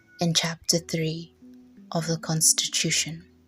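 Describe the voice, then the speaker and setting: Music plays in the background as a woman speaks. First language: not English. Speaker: English teacher. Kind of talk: reading of a legal judgment.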